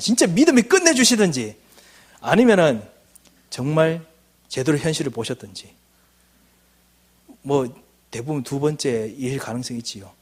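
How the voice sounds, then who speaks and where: A somewhat breathy man's voice, fairly high in pitch, with very wide pitch swings. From Gyeongsang, South Korea (Daegu). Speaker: missionary, guest preacher. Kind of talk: sermon. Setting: church service.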